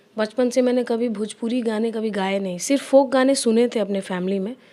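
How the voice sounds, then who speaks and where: With a Bihari accent, a woman speaks in a dark, mellow tone with fairly even intonation. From Bihar, Gopalganj (Bhojpuri region). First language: Bhojpuri (speaking Hindi). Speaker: playback singer. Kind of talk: interview.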